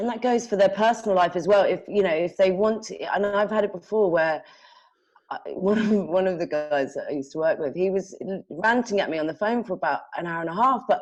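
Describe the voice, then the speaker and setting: A woman with a London accent talks at a fairly quick pace, her medium pitch showing ordinary pitch variation. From London, England. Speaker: sales manager. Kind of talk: casual interview. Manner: halting, many false starts.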